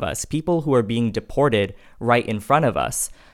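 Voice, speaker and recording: A man with an unremarkable speaking voice and an American accent talks at a moderate pace and medium pitch with ordinary variation, in a very clean recording with a silent background. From US, Indian American family. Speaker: graduate student in politics. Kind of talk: panel discussion.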